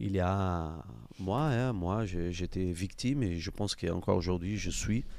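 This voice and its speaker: A man's very deep, low voice in a Brazilian accent at a fairly slow pace. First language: Portuguese (speaking French). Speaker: podcast host, amateur footballer. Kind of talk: casual interview chat.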